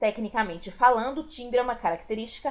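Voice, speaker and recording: This woman speaks in a high pitch. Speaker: school teacher. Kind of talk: video lesson.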